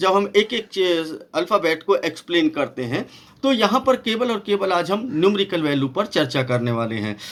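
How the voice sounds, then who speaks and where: This man's voice sits high in pitch. It moves in very wide pitch swings. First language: not Hindi (speaking Hindi). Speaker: pastor and Bible numerology teacher. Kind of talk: Bible study lecture. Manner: halting, with many fillers.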